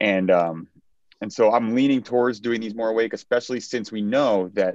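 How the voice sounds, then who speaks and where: A man talks very fast with ordinary pitch variation in a dry sound with no echo. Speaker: neurosurgeon; presenter. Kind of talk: case presentation. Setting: video call. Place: home room. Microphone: video call.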